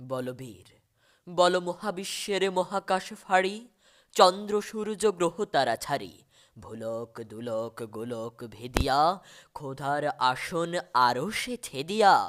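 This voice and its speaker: The recording is very clean, with a silent background. A man speaks with very wide pitch swings. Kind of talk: poetry reading. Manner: passionate, fiery.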